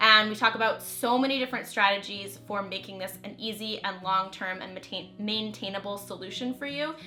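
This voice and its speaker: Over music in the background, a woman speaks fairly quickly at a fairly high pitch with fairly even intonation. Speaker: YouTuber and holistic nutritionist. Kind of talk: casual vlog talk to camera.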